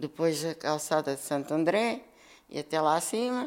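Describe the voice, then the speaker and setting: A woman's very deep, low pitch with very wide pitch swings, at a fairly slow pace. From Lisbon, Portugal. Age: 70s. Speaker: elderly interviewee sharing memories. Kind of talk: oral history interview. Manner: halting, with repetitions.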